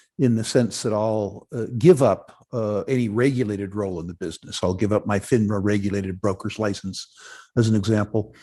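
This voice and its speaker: The speech moves at a fairly quick pace with fairly even intonation. The tone is dark and mellow. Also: man, fairly low pitch for a man. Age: 60s. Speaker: mining investment executive. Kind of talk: interview. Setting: online conference. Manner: halting, many fillers and restarts.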